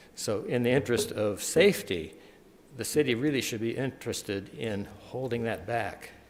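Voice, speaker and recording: Audible room echo surrounds a man speaking at medium pitch. His pace is moderate and his intonation lively. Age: 70s. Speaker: landowner speaking at city council. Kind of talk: public comment at council meeting. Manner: halting, with fillers.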